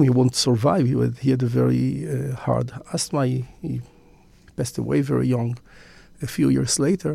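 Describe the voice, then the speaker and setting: A man with an Israeli accent at a moderate pace. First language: Hebrew. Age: 50s. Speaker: businessman and magazine founder. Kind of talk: interview conversation. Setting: studio. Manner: halting.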